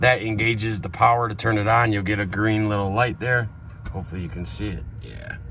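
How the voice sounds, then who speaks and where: A man speaks at a fairly quick pace and a fairly low pitch, with ordinary pitch variation. Room echo is audible. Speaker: RV salesman. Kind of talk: product walkthrough. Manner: fast.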